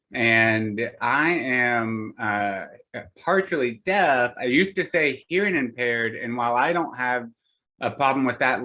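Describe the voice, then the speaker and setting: This man has a bright, sharp tone at medium pitch. His intonation is lively. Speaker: physician. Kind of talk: panel discussion. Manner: halting.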